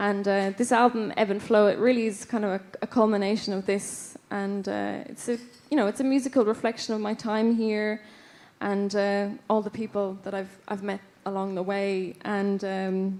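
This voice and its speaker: A woman speaks with an Irish accent at a medium pitch and a moderate pace. Her intonation stays fairly even. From west of Ireland, County Roscommon. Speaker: folk musician, award winner. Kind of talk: award acceptance speech. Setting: stage with audience. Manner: halting, many fillers.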